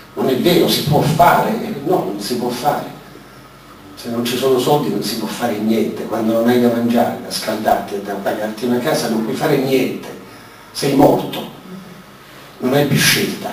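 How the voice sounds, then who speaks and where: Speaking at a moderate pace with long, frequent pauses, a man with a medium pitch and ordinary pitch variation is heard over light background noise, with audible room echo. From Rome; Italy. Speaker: former magistrate; speaker. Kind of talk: panel discussion. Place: hall.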